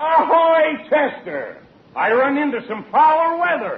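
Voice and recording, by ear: Slowly and with audible room echo, a man puts on a character voice at an extremely high pitch, swinging it widely.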